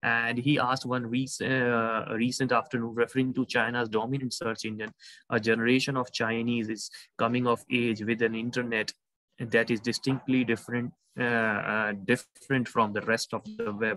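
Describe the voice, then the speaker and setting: A man speaks at a moderate pace in a bright, sharp tone with monotone, flat intonation. The sound is dry with no echo, and the background is quiet. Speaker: university lecturer. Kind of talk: lecture. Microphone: video call.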